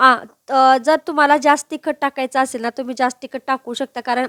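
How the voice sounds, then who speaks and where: A woman's high-pitched voice comes through a very clean recording with a silent background, dry and close with no echo. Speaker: cooking vlogger. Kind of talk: cooking vlog narration.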